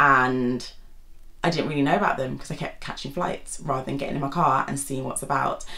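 Audible room echo surrounds the recording. A woman speaks with a British accent. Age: 20s. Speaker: YouTuber and GP doctor. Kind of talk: casual vlog monologue. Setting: seated at home.

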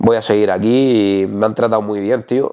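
Moderate pace and fairly even intonation over a quiet background. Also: man. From Canary Islands. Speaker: natural bodybuilder; interviewee. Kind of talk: casual interview. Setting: host's home. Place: home room. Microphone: lapel.

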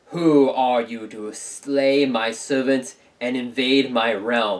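Using a put-on character voice, a man with a booming, medium-pitched delivery speaks at a very slow pace. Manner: menacing.

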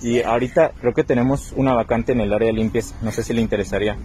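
The voice has a husky, rough edge and a dark, mellow tone. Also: man.

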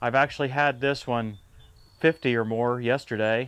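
The speaker is a man. He keeps a moderate pace. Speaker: tractor channel host. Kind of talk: product review. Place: street. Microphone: lapel.

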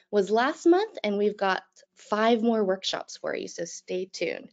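The speaker is a woman going at a fairly slow pace. Behind her the background stays quiet. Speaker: webinar host. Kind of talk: webinar introduction. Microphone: video call.

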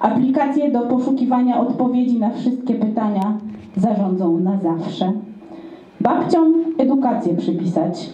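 Audible room echo surrounds a woman speaking in a high voice with ordinary pitch variation. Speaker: slam poet. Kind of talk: slam poetry performance. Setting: live event. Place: stage.

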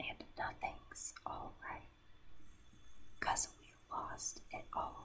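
Very slow, whispered speech from a woman. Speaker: ASMR creator. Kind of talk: ASMR whispered reading of song lyrics. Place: home room. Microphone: studio mic.

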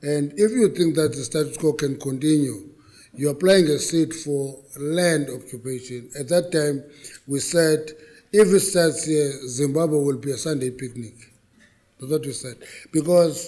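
The setting is quiet. A man talks fairly slowly, his pitch varying in an ordinary way. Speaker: government minister addressing a forum. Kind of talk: speech. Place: hall. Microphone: podium.

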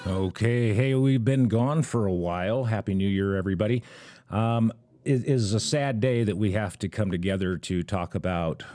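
Delivered at a moderate pace, it is an ordinary speaking voice with ordinary pitch variation. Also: man, fairly low pitch for a man. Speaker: podcast host. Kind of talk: podcast intro commentary. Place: studio.

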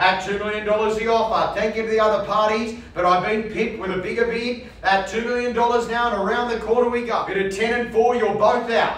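In a room with audible echo, a man with a high voice speaks at a fairly quick pace, hardly pausing at all. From Australia. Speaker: property auctioneer. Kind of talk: live property auction call. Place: studio.

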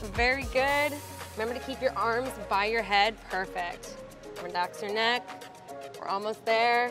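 Over clear background music, a woman speaks at a fairly slow pace with ordinary pitch variation in a dry sound with no echo. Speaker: fitness coach. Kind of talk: workout coaching instructions.

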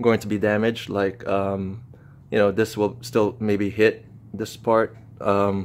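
The delivery is monotone and flat, moving at a fairly slow pace. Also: man, fairly low pitch for a man. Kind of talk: casual product walkthrough. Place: garage. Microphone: phone near.

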